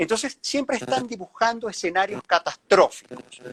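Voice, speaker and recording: A man with a high pitch speaks at a fairly quick pace, his pitch swinging very widely, in a dry, close sound with no echo. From Venezuela. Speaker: journalist and interviewer. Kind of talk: interview.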